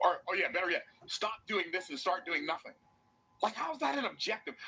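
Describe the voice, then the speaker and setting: Over noticeable background noise, a man talks at a very fast pace in a raised, projected, high-pitched voice with an animated tone. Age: 60s. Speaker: motivational business speaker. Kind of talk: motivational speech. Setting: stage with audience.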